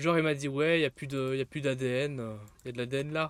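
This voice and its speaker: Here a man talks at a moderate pace. His pitch variation is ordinary. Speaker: gaming streamer. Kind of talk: live gameplay stream chat. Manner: loud; animated.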